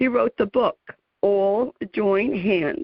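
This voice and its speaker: A woman in a New Jersey accent, fairly high-pitched, at a very slow pace. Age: 60s. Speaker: radio talk show host. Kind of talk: interview. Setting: radio show.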